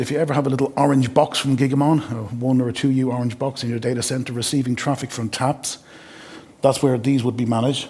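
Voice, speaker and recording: Very fast speech in an Irish accent. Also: man. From Ireland. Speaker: sales engineer. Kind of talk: product demo. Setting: webinar.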